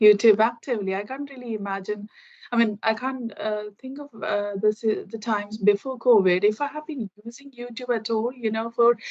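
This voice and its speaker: With a Keralan accent, a woman speaks at a moderate pace in a fairly high pitch, her intonation fairly even but her loudness swinging widely. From India, Kerala. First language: Malayalam. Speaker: IT professional, English learner. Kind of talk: casual conversation practice. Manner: halting, many fillers.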